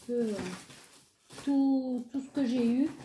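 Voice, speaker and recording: A woman speaks in a high pitch with audible room echo. Light background noise is present. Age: 30s. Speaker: craft vlogger. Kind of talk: shopping haul video. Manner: hesitant with fillers.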